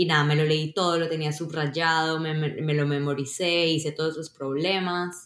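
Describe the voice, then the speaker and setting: At a moderate pace and with hardly any pauses, a woman speaks in a very deep, low pitch with monotone, flat intonation. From Colombia. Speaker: software engineer. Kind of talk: interview.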